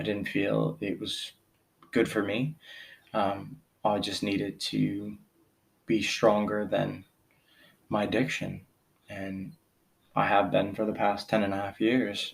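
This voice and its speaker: A man speaks very slowly with an American accent, his fairly low voice showing vocal fry, fairly even intonation and long, frequent pauses. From US, central Pennsylvania. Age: 40s. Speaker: podcast host. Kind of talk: personal monologue. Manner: halting, many fillers.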